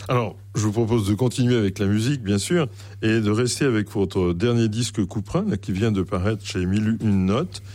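Here a man talks at a fairly quick pace. His pitch is fairly low and his tone slightly mellow. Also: ordinary pitch variation.

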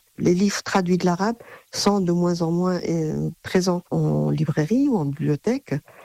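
The voice has a dark, mellow tone and a moderate pace, with a dry, close sound with no echo. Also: woman.

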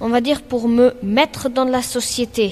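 A woman speaks slowly at a fairly high pitch. Her tone is slightly mellow.

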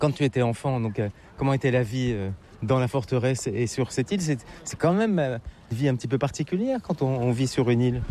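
At a fairly quick pace, a man with a medium pitch and ordinary pitch variation speaks in a dark, mellow tone.

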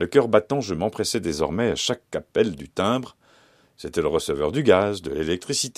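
This is an unforced reading voice. The words are simply read out.

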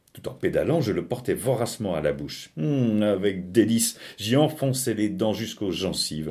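Lively intonation colors this plain reading aloud.

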